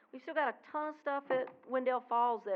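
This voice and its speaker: A woman's high voice at a moderate pace. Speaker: resident speaking at public comment. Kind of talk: public comment at town board meeting. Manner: loud. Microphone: speaking without microphone at times.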